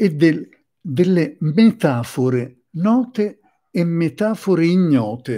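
A man's dark, mellow voice moves with lively intonation. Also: quiet background. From Sicily. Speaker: psychotherapist; presenter. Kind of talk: lecture. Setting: live stream. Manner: halting. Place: home room. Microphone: webcam.

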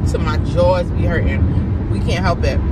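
A woman's voice comes through loud background noise, the sound dry with no echo. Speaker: vlogger. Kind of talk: casual vlog chat. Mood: amused, laughing storytelling. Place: car. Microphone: phone near.

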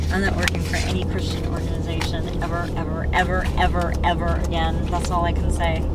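The sound is dry with no echo. Music plays in the background. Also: woman. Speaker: vlogger. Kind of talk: casual vlog chat. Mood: indignant, exasperated. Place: car.

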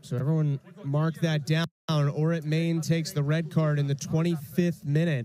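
Pitched fairly high, a man speaks in a monotone, flat intonation. His loudness stays very even. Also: moderate pace. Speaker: soccer play-by-play commentator. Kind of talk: live sports commentary, play-by-play of a college soccer match. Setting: broadcast booth, streamed match.

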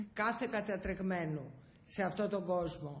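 A woman's somewhat breathy voice at a fairly slow pace. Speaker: politician guest. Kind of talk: interview answer. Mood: serious, earnest. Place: office. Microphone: handheld.

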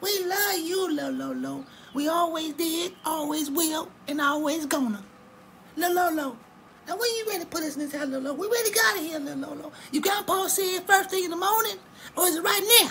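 A female-sounding, cartoonish character voice at an extremely high pitch moves at a fairly quick pace over clear background noise. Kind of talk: comic cartoon voice acting. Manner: gushing, affectionate, repetitive.

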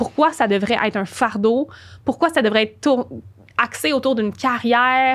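With a Quebec accent, a woman speaks at a fairly slow pace in a high pitch with ordinary pitch variation. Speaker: spiritual and business coach; business coach. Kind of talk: interview. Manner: animated. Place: studio. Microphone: studio mic.

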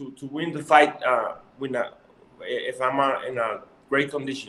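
A fairly high-pitched man with a Mexican accent, bright and sharp in tone, at a fairly slow pace. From Mexico. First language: Spanish. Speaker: professional boxer. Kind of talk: interview. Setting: video call. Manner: halting. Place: home room. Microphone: video call.

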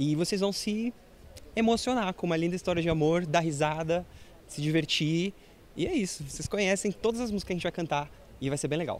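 A man talks at a fairly quick pace with ordinary pitch variation. Light background noise sits under a dry sound with no echo. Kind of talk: interview answer. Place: stage. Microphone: handheld.

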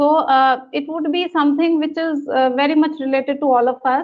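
A high-pitched woman's voice in an Indian accent, monotone and flat, against a quiet background. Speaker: business school professor. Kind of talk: webinar lecture. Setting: video call. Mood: warm, smiling. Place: home room. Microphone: video call.

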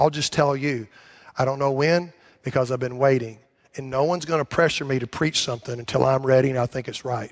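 A man's fairly even intonation comes through against a quiet background. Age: 60s. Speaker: pastor. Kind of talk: sermon. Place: church.

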